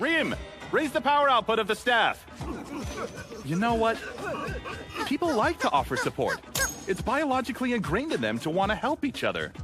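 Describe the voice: Cartoonish character voice from a man, extremely high-pitched and fairly bright in tone, big pitch swings at a moderate pace, faint music in the background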